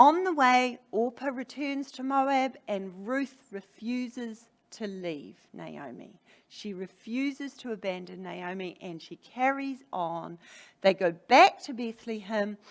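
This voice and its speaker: A woman with a New Zealand accent speaks at a very slow pace, her pitch fairly high. Her intonation is lively, with big swings in loudness. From New Zealand, Hamilton (Waikato). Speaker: preacher. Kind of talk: sermon.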